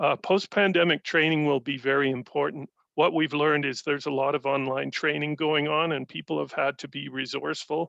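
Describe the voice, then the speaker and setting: At a moderate pace, a bright, sharp voice with vocal fry and fairly even intonation comes through with a dry, close sound and no echo. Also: man. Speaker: union or industry representative. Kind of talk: industry update presentation.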